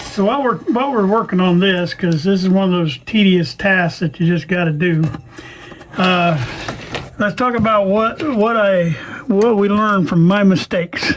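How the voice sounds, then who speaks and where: A man speaks at a moderate pace in a high voice with very even loudness and ordinary pitch variation, with noticeable background noise behind him. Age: 60s. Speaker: radio restoration hobbyist. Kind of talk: tutorial. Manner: casual, halting with fillers.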